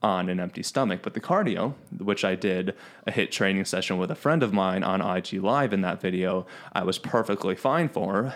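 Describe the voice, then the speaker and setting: With an American accent, a man uses an ordinary speaking voice at a fairly low pitch, a moderate pace and ordinary pitch variation on a very clean recording with a silent background. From Chicago, US Midwest. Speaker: fitness podcast host. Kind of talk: casual chat.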